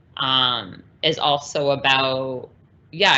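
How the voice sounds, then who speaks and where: Through noticeable background noise, a woman speaks in a very deep, low voice with monotone, flat intonation. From US-Canada border. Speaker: performance artist. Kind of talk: conversation. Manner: hesitant, many fillers.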